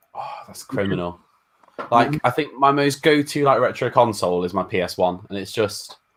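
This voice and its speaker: A man speaks in an ordinary speaking voice at medium pitch and a moderate pace. His intonation is lively, with big swings in loudness. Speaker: gaming YouTuber. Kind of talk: casual chat.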